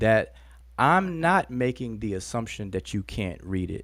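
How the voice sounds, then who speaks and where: A man with very wide pitch swings on a very clean recording over a silent background. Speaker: hieroglyphics teacher. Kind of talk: heated debate. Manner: halting.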